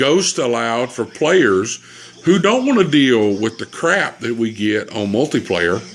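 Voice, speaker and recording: Here is a man with a Southern US accent and a medium pitch. He speaks at a fairly slow pace with very wide pitch swings. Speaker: gamer. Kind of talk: casual chat.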